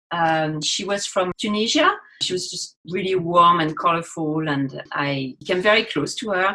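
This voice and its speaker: The speaker has a French accent and a bright, sharp tone. The pace is moderate, with ordinary pitch variation. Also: woman, fairly low pitch for a woman. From France. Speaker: university teacher educator. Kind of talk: podcast interview.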